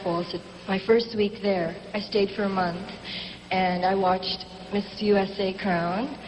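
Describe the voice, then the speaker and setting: The voice is monotone and flat, heard with audible room echo and noticeable background noise. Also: woman. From Philippines. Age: young. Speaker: beauty pageant contestant. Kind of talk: live TV interview. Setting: stage with audience.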